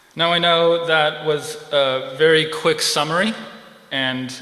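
Noticeable background noise and audible room echo both surround a man as he talks. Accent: American. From California. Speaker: seminary intern preacher. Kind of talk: sermon.

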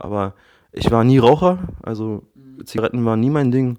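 Against a quiet background, a man talks fairly quickly at a medium pitch with ordinary pitch variation. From Berlin, Germany. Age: 30s. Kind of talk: casual chat.

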